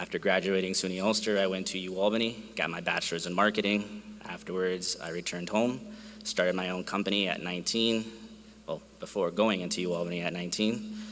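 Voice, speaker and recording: Speaking in a very deep, low voice with a Spanish accent, a man moves at a fairly quick pace with monotone, flat intonation. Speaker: alumni commencement speaker, entrepreneur. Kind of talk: commencement speech.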